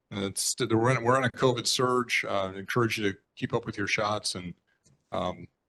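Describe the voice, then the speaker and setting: This man talks at a moderate pace with a medium pitch and fairly even intonation. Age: 60s. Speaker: state senator. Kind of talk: report to a neighborhood board meeting. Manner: halting, many fillers.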